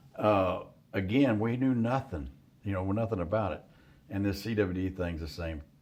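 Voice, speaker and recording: This man has an unremarkable speaking voice at a fairly low pitch. He moves at a moderate pace with ordinary pitch variation. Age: 60s. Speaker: hunting outfitter. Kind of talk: casual chat. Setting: deer camp.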